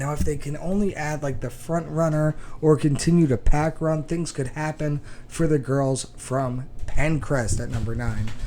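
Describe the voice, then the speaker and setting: Mumbling at a moderate pace, a man with a fairly high pitch keeps his intonation fairly even. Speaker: high school cross country podcast host. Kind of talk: sports podcast commentary.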